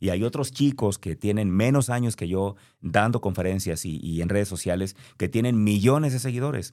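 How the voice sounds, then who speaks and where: A fairly low male voice with a dark, mellow tone, moderate pace and ordinary pitch variation, on a very clean recording with a silent background. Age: 40s. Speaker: motivational speaker and podcast host. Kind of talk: motivational monologue.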